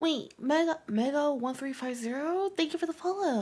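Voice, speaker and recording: A woman speaks at a moderate pace. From Canada. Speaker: streamer and education student. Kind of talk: casual live-stream chat. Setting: live stream.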